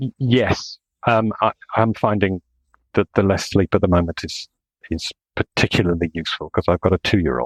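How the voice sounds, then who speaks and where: At a moderate pace, a man with a very deep, low pitch speaks with ordinary pitch variation and long, frequent pauses, in dry, close sound with no echo. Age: 60s. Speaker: engineer. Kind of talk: casual chat. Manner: halting.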